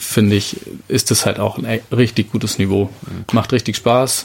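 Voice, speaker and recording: The man has a plain, everyday voice at medium pitch. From Bavarian Lake Constance shore, Germany. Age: 30s. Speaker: winemaker. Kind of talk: interview.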